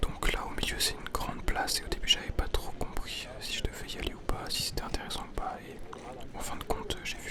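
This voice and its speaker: Someone whispers in a calm tone at a fairly quick pace, with noticeable background noise. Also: man. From Switzerland. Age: young. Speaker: ASMR artist. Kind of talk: casual vlog talk while walking. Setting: outdoors, public park. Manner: soft-spoken, calm.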